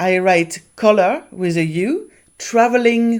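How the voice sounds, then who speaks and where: Lively intonation carries this very slow speech on a very clean recording with a silent background. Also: woman. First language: not English. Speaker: author and YouTuber. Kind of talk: tutorial vlog. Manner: casual, conversational.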